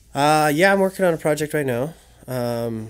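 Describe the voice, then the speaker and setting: On a very clean recording with a silent background, a man speaks with a Western Canadian accent. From Vernon, British Columbia, Canada. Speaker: adventure photographer. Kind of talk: casual chat. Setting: studio.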